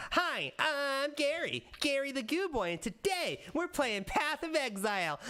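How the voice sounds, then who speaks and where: At a moderate pace and with hardly any pauses, a put-on character voice chatters in a high pitch. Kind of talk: childish gamer talk. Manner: cringey, overly enthusiastic.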